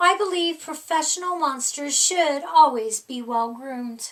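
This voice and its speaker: High-pitched put-on character voice from a woman, at a moderate pace. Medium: read story.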